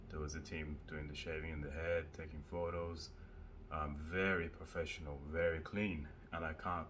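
Over light background noise, a man with a very deep, low pitch talks in a flat monotone. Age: 30s. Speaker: vlogger. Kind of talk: casual vlog. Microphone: phone; phone near.

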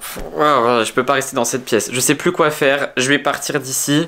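The man's intonation is fairly even. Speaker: vlogger. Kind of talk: casual vlog chat, staged suspense. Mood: tense, hushed suspense. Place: home room. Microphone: phone near.

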